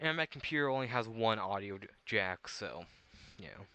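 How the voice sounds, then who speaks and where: A man speaks at a moderate pace in a medium pitch with ordinary variation. His tone is bright and sharp, and the background is quiet. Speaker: gaming youtuber. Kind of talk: casual gameplay commentary. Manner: rambling, halting. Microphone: built-in gaming headset mic.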